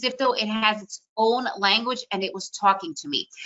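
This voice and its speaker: Speaking at a moderate pace, a woman uses a fairly high pitch and an animated tone. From US, born in Soviet Union. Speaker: day trader and trading educator. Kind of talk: webinar presentation.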